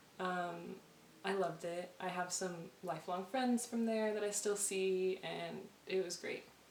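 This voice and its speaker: There is audible room echo and noticeable background noise as a woman speaks with fairly even intonation. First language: Spanish. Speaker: vlogger. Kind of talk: casual chat. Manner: fast.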